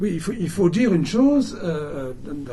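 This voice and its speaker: With audible room echo, a man talks at a fairly high pitch in a dark, mellow tone with lively intonation. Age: 70s. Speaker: lecturer, writer. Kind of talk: public talk and interview. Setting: bookshop event with audience. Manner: halting, many repetitions.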